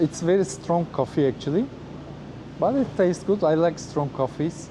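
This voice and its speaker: At a moderate pace, a man with a Turkish accent speaks at a high pitch with very even loudness. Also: ordinary pitch variation. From Turkey. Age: 30s. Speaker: former flight attendant, travel vlogger. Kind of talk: casual interview. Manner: halting, with many hesitations.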